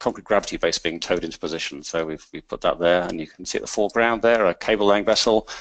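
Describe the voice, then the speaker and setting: A man with a British accent talks at a very fast pace with fairly even intonation. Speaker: energy industry consultant. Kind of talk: webinar presentation. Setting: online webinar. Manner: halting, many repetitions and fillers.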